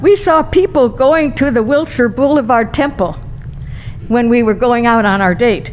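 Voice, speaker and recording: A woman with a high pitch talks at a moderate pace, her voice swinging very widely in pitch, with noticeable background noise behind her. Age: 80s+. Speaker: adult bat mitzvah celebrant. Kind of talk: speech.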